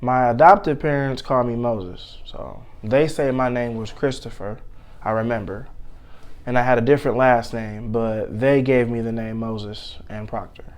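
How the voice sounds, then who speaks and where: A man with an American accent, medium in pitch, at a fairly slow pace with long, frequent pauses and fairly even intonation, in audible room echo. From Michigan, Detroit area (Inkster). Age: 30s. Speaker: interviewee sharing life story. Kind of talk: interview.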